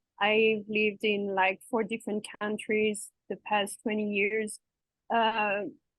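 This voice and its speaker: At a very slow pace, a woman with a French accent speaks in a fairly high pitch with monotone, flat intonation. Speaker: interview guest, expat and coach. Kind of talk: interview.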